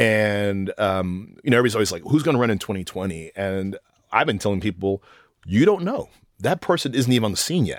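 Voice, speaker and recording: Fairly low in pitch, a man speaks at a fairly quick pace with lively intonation. He has an ordinary speaking voice, and the recording is very clean with a silent background. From Texas (Austin). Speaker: professor. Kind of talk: casual chat. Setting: studio.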